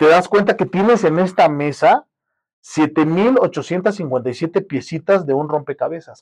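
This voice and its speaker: Against a quiet background, a man with a high pitch and ordinary pitch variation speaks very slowly, his loudness swinging widely. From Mexico, Guerrero. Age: 30s. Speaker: filmmaker. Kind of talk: casual chat.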